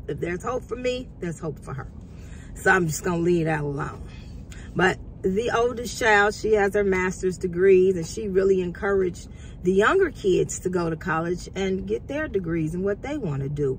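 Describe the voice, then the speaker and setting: A woman talks with lively intonation. Noticeable background noise runs under her voice. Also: medium pitch for a woman, moderate pace. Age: 50s. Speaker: culinary student and vlogger. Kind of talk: casual motivational vlog.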